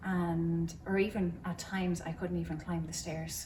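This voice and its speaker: In an Irish accent, a woman with a fairly low, dark and mellow voice speaks somewhat breathily with fairly even intonation, and the room echo is audible. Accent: Cavan Irish. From Ireland, County Cavan. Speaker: churchgoer sharing faith story. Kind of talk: testimony. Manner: hesitant, many fillers.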